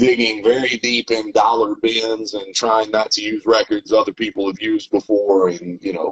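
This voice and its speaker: In a Southern US accent, a man talks at a moderate pace with ordinary pitch variation. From US South, Tennessee. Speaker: rapper and producer. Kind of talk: interview.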